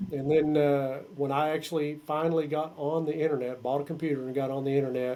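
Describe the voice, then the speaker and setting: Speaking at a fairly quick pace, a man with an American accent keeps a monotone, flat intonation. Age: 60s. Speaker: metal musician and songwriter. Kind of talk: interview.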